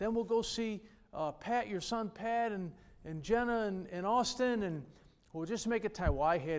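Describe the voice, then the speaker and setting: Here a man talks at a moderate pace. He has a New York accent. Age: 60s. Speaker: pastor. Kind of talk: sermon. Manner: animated.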